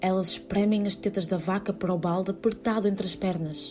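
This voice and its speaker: Over music in the background, a woman at medium pitch talks at a moderate pace with ordinary pitch variation. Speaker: theatre performer reading a literary text. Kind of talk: literary text reading, whispered theatre piece. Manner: whispered, intimate.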